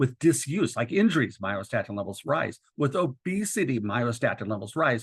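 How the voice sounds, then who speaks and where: A somewhat breathy man at medium pitch, with very wide pitch swings and hardly any pauses. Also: moderate pace. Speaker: doctor and educator presenting a webinar. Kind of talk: lecture. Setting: webinar.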